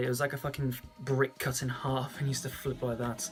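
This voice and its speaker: Music plays behind a man speaking at a medium pitch. He talks at a fairly quick pace. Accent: English. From England. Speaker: vlogger. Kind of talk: casual chat.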